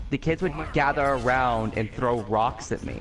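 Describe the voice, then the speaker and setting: A man with an unremarkable speaking voice. He talks at a moderate pace with ordinary pitch variation. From USA. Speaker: gaming and anime streamer. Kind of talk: casual chat. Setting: live stream.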